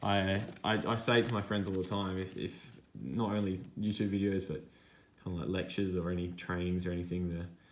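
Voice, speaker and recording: A man with an Australian accent speaks in a very deep, low voice with fairly even intonation, and audible room echo surrounds him. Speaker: sports card collector, YouTuber. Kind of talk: casual hobby vlog monologue.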